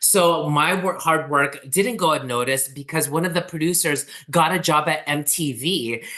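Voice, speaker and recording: The speech runs on with hardly any pauses. Noticeable background noise is present. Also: moderate pace. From Philippines-born, raised in US from age 4. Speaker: TV producer. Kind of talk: interview. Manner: animated.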